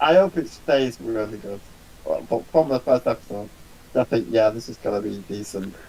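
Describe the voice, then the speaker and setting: With a strong Manchester accent, a man speaks at a medium pitch and a moderate pace in a dark, mellow tone, his intonation lively and his loudness shifting in big swings. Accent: strong Salford. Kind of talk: casual chat.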